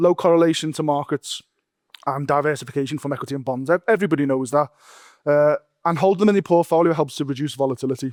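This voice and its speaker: A man talks at a very fast pace with a strong Liverpool accent, using a fairly high pitch and ordinary pitch variation. The recording is very clean, with a silent background and a dry, close sound with no echo. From Liverpool, England. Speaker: investment manager. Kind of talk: conference presentation.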